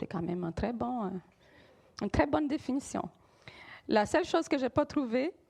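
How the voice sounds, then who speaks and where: A woman with a Brazilian accent talks at a moderate pace with a high pitch and very wide pitch swings. Long, frequent pauses break her speech, and the sound is dry and close with no echo. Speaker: preacher. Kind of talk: sermon. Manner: halting, frequent hesitations.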